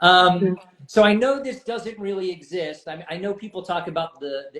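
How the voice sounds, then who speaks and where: The speaker uses an American accent with ordinary pitch variation. The pace is moderate, with big swings in loudness. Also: man, high pitch for a man. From United States. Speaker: podcast host. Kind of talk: casual interview.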